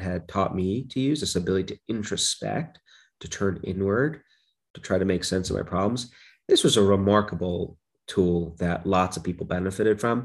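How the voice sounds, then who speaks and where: A man with an American accent speaks at a moderate pace in an ordinary speaking voice, his pitch varying in an ordinary way. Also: quiet background. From Brooklyn, New York. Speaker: psychology professor. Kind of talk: interview.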